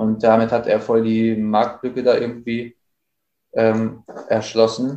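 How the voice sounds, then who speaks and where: A man speaks at a medium pitch in a monotone, flat intonation. His pace is very slow, with long, frequent pauses. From Bielefeld, Germany. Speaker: rapper. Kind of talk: casual interview.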